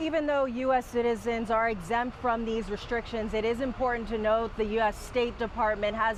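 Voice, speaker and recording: Over noticeable background noise, a woman talks in a fairly high voice with fairly even intonation. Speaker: TV news reporter. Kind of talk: TV news report.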